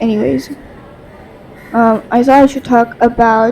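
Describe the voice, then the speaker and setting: Noticeable background noise sits behind a woman speaking at a high pitch with a Bengali accent. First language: Bangla. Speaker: podcast host. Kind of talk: casual monologue. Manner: halting.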